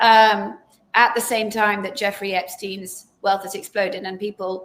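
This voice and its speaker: A woman with an English accent speaks at a fairly slow pace in a medium pitch, her intonation monotone and flat while her loudness swings widely. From England. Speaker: journalist and author. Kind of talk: interview. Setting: live video stream.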